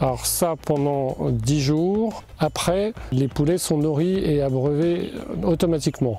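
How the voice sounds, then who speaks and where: A man speaks at a very slow pace with a fairly high pitch and ordinary pitch variation. His loudness stays very even, with music in the background. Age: 60s. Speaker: poultry farmer. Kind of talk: interview testimony. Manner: hesitant, many fillers.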